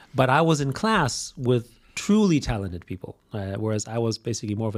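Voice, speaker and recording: In a very clean recording over a silent background, a man with a German accent talks at a fairly quick pace and a medium pitch. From Austria. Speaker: business executive. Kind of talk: podcast interview.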